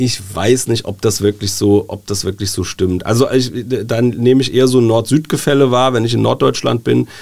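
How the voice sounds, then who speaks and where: A man speaks at a moderate pace in a medium pitch with ordinary pitch variation. He has a plain, everyday voice. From Germany, Wiesbaden (Hesse). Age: 40s. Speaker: newspaper editor-in-chief. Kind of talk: casual interview. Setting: studio.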